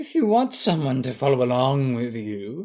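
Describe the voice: Putting on a guttural character voice, a man talks at a moderate pace and medium pitch with lively intonation.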